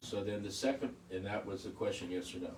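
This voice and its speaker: A fairly low-pitched man amid noticeable background noise and audible room echo. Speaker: devotee asking a question. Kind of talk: question from the audience. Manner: loud.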